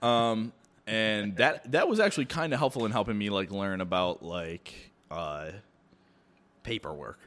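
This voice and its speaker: Fairly slow in pace, this clip features an ordinary speaking voice with lively intonation. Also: man, fairly low pitch for a man. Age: 20s. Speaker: chef. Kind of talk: casual chat.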